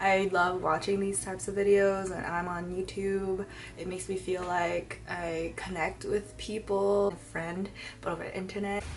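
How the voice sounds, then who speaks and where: Moderate pace with audible room echo. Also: woman. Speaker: beauty vlogger. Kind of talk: casual chat. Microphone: possible audio issues.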